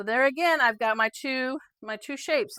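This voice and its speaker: The voice has a bright, sharp tone on a very clean recording with a silent background. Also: woman, dry, close sound with no echo. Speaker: quilting instructor. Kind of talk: tutorial. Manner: halting, with stutters and fillers; casual, conversational.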